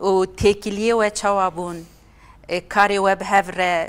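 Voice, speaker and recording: Speaking at a fairly slow pace, a woman keeps a monotone, flat intonation. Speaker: TV presenter. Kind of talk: panel discussion remembering a colleague. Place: studio.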